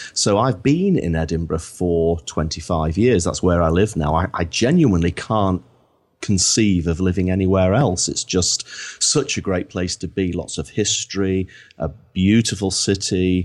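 In a very clean recording with a silent background, a man with a Lancashire accent speaks at a very deep, low pitch. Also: ordinary pitch variation, moderate pace. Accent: northern English (Lancashire). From northern England, Blackpool. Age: 50s. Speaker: marketing consultant. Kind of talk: podcast interview.

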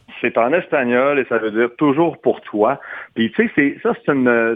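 Lively intonation in a man's medium-pitched speech. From Quebec. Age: 40s. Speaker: singer. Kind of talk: radio interview. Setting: phone call.

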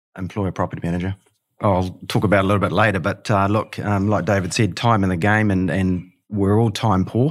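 A man with a New Zealand accent, fairly low in pitch, fairly quick in pace, with fairly even intonation, on a very clean recording with a silent background. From New Zealand, Hamilton. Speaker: property manager. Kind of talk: casual interview.

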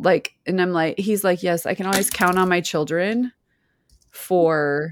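A woman speaks fairly slowly at a fairly low pitch, with ordinary pitch variation in an unremarkable speaking voice. The recording is very clean and dry, close with no echo and a silent background. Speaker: podcast co-host. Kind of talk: casual chat. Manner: laughs often, chatty.

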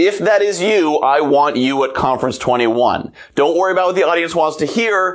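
Audible room echo surrounds a man speaking in a high pitch with ordinary pitch variation. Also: moderate pace. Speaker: motivational podcast host. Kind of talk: solo monologue. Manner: walking around while talking. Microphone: lavalier mic, a bit echoey.

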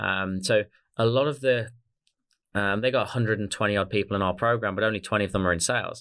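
A man with an Australian accent talks very fast at a fairly low pitch with ordinary pitch variation. The recording is very clean, with a silent background. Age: 30s. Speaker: sales coach, business co-founder. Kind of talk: interview conversation. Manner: hesitant, many fillers.

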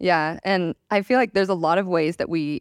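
A woman with an ordinary speaking voice at a moderate pace, the sound dry and close with no echo, on a very clean recording with a silent background. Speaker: conflict facilitator and panelist. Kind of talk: panel conversation on stage.

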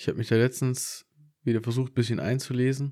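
Here a man speaks at medium pitch in a dark, mellow tone. The recording is very clean, with a silent background. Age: 20s. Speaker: podcast co-host. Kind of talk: casual chat.

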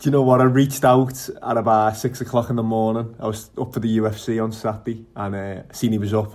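A man at medium pitch and a fairly quick pace, monotone and flat, on a very clean recording with a silent background. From Liverpool, England. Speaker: podcast host. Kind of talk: casual chat.

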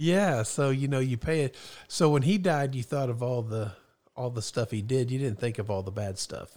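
With a normal speaking voice, a man at medium pitch talks at a moderate pace with lively intonation over a very clean recording with a silent background. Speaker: guest, host's father. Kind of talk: casual chat. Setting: studio.

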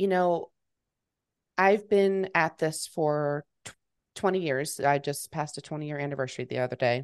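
A woman with an American accent talks at a moderate pace with a very deep, low pitch and ordinary pitch variation. The sound is dry and close with no echo, and the background is quiet. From Texas, Fort Worth. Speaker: business founder, PR executive. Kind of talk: interview.

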